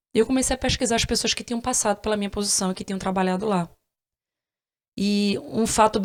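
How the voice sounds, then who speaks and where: Her pitch medium, a woman talks at a very fast pace. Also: very clean recording, silent background. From Brazil, Northeast. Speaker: podcast host, former court analyst. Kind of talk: interview, personal story.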